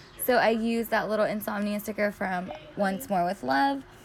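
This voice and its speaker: This is a woman with an ordinary speaking voice. Her pitch is fairly high and her pace moderate. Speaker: planner YouTuber. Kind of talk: casual tutorial narration. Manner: filler-heavy, chatty.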